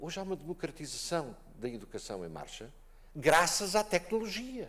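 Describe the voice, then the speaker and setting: A man talks in an animated tone with a high pitch and very wide pitch swings. His loudness swings widely, and his pace is moderate. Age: 70s. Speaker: conference panelist. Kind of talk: panel discussion.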